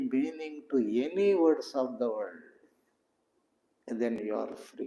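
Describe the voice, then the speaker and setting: Pausing long and often, a man with a Telugu accent speaks at a fairly high pitch with very wide pitch swings. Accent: Indian (Telugu) English. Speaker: spiritual teacher. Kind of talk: satsang talk.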